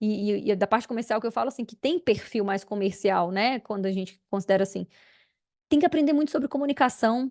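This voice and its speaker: In a dry, close sound with no echo and a quiet background, a woman speaks fairly quickly at a fairly high pitch, her tone animated and her intonation lively. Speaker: podcast host, agribusiness sales mentor. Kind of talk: solo podcast talk. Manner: animated, smiling.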